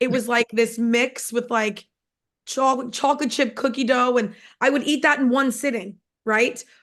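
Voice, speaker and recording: A woman speaks at a moderate pace with a New York accent. Her voice is high-pitched, and her intonation stays fairly even. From New York, Long Island. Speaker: network marketing distributor. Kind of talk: testimony.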